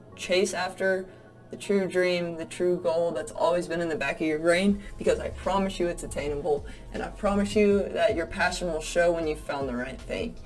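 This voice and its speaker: A woman with an American accent, fairly low-pitched with ordinary pitch variation, at a moderate pace, with audible room echo and music in the background. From US South. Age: 20s. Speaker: real estate agent. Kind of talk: casual vlog monologue. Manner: animated.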